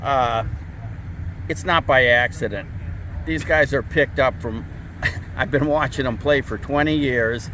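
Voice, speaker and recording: Over noticeable background noise, the speaker goes at a fairly slow pace with long, frequent pauses. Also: man, medium pitch for a man, lively intonation. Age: 70s. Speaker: senior softball player. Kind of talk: interview.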